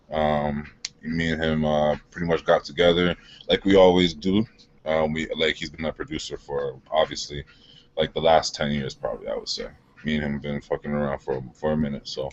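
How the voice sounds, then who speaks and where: Noticeable background noise sits beneath speech delivered at a fairly quick pace. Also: man. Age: 20s. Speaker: rapper and music producer. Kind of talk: interview. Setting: live stream.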